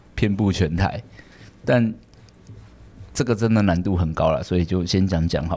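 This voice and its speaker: A man with a fairly low pitch and a dark, mellow tone speaks at a moderate pace. He leaves long, frequent pauses, and his pitch varies in an ordinary way. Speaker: podcast host and hair salon manager. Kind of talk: casual chat. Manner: many filler sounds.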